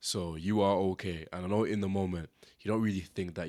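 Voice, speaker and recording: In a very clean recording with a silent background, a man with a British accent talks fairly quickly in a very deep, low voice with fairly even intonation. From Britain, Zimbabwean family. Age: 20s. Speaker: podcast host. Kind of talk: casual podcast monologue. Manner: casual, conversational.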